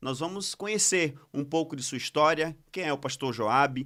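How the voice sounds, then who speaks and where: Recorded very cleanly with a silent background, a man speaks with a fairly high pitch, a bright, sharp tone, and ordinary pitch variation. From Pernambuco, Brazil. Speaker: podcast host. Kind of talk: casual chat. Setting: studio.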